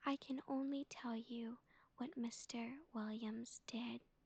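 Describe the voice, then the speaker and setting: Soft-spoken, the speaker delivers words at a fairly slow pace. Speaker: vtuber. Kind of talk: sleep story.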